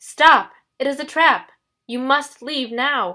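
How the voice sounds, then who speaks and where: A woman's strained, high-pitched put-on character voice, raised and projected, at a fairly slow pace. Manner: urgent, warning.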